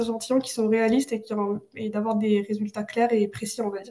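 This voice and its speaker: A woman speaks in a fairly high voice. Her intonation is monotone and flat. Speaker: student tutor. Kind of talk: lecture. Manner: fast; hesitant, many fillers.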